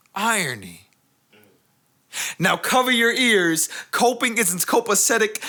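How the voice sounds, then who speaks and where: A man with a New York accent speaks at a very slow pace. His tone is bright and sharp, and his pitch swings very widely. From US Northeast, the Bronx, New York. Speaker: spoken word poet. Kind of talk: spoken word poetry performance.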